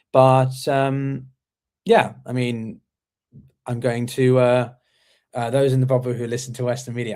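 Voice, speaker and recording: At a fairly quick pace, a man with an English accent speaks at a medium pitch on a very clean recording with a silent background. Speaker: interview show host. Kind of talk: casual chat. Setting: live stream. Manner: halting, many fillers.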